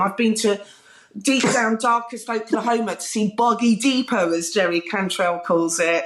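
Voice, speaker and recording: A woman speaks with a British accent at a moderate pace. Her voice sits fairly high, with ordinary pitch variation. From southern England. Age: 40s. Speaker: music TV presenter. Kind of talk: casual interview chat. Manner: animated.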